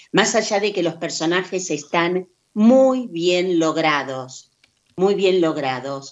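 A woman's fairly low voice, very slow pace and lively intonation. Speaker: radio co-host. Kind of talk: reading aloud.

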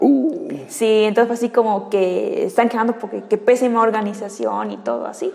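Noticeable background noise runs under a woman's voice. She speaks at a moderate pace in a fairly high pitch with ordinary pitch variation. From Yucatán, Mexico. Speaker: cosplayer and anime fan. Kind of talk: casual interview.

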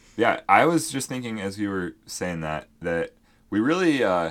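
A man has an ordinary speaking voice with a fairly low pitch and lively intonation, at a fairly quick pace. The recording is very clean with a silent background. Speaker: podcast co-host. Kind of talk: casual chat.

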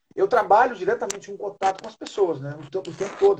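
Lively in intonation, a man speaks at a fairly quick pace with a high pitch. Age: 40s. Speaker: independent cultural worker and writer. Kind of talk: casual interview chat. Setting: online live stream. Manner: halting with frequent repetitions.

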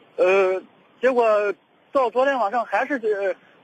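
Dry, close male voice with no echo and ordinary pitch variation. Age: 30s. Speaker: caller seeking dating advice. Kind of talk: call-in consultation. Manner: halting, many fillers and repetitions.

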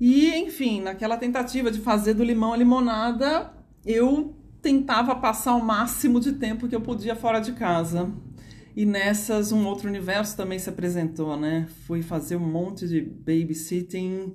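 Audible room echo carries a woman's fairly high voice and lively intonation. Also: moderate pace. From Brazil, São Paulo. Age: 30s. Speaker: psychologist and dance therapist. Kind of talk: personal storytelling monologue. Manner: spontaneous, unscripted.

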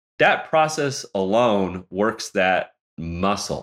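This man's fairly low voice moves through very wide pitch swings. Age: 50s. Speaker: photographer and NFT artist. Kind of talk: interview conversation.

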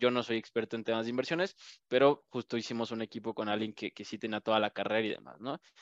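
Someone talks at a very fast pace against a quiet background, with a dry, close sound and no echo. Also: man. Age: 20s. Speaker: startup entrepreneur. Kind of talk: podcast interview.

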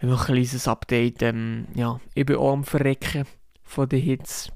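In a very clean recording with a silent background, a man speaks with flat, monotone intonation. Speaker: podcaster. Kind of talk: casual monologue.

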